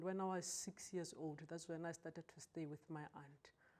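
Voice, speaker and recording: At a moderate pace, a woman with a fairly low pitch speaks in a normal speaking voice with ordinary pitch variation. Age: 40s. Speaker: customs officer sharing abuse story. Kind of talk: testimony. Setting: TV studio.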